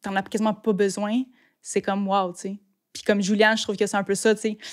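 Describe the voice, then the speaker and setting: A woman talks at a fairly quick pace, medium in pitch, with monotone, flat intonation. The recording is very clean, with a silent background. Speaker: photographer and videographer. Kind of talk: podcast interview. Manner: fast.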